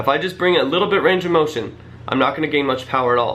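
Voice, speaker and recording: Very fast and fairly even in intonation, a man speaks amid noticeable background noise and audible room echo. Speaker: fitness youtuber. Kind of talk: casual tutorial to camera.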